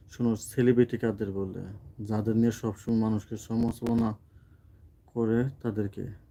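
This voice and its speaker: This man's voice sits at medium pitch with a dark, mellow tone. He speaks in a monotone with flat intonation. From Mymensingh, Bangladesh (Muktagacha). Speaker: social media content creator. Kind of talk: live stream chat with viewers.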